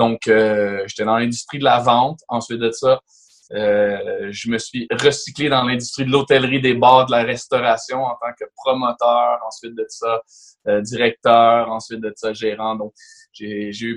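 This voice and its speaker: A man with a medium pitch speaks at a fairly slow pace in a monotone, flat intonation. The sound is dry and close with no echo. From Quebec, Laval. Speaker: real estate broker. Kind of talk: podcast interview.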